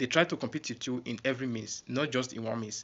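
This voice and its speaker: Medium pitch, a moderate pace and fairly even intonation in a man's voice. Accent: non-native. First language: not English. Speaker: YouTuber. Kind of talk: casual vlog talk. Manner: halting.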